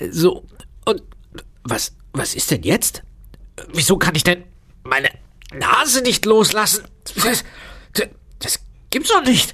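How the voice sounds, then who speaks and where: A man speaks in a put-on character voice, nasal and high-pitched. He talks at a fairly slow pace with long, frequent pauses. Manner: comical.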